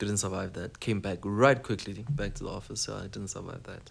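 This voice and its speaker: With a South African accent and vocal fry, a man talks at a fairly quick pace with ordinary pitch variation. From South Africa, Eastern Cape. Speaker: podcast guest. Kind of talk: casual chat.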